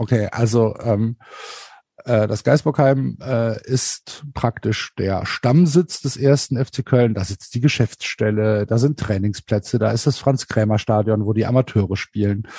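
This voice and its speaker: In a dry, close sound with no echo, a man of medium pitch speaks somewhat breathily in a dark, mellow tone with ordinary pitch variation. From Germany, Cologne. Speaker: podcaster and football fan. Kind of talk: casual chat.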